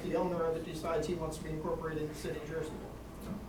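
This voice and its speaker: Speaking at a very fast pace with an American accent, a man with a fairly high-pitched voice is heard amid audible room echo and noticeable background noise. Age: 60s. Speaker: local resident at public meeting. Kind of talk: public meeting Q&A.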